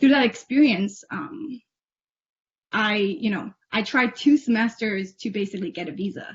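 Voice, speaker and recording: A woman speaks at a moderate pace in a somewhat breathy voice. Her pitch is fairly high, with ordinary variation. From US Northeast, Cambridge, Massachusetts. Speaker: Tibetan-American youth program alumnus. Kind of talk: Q&A with an official. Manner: hesitant, with frequent fillers.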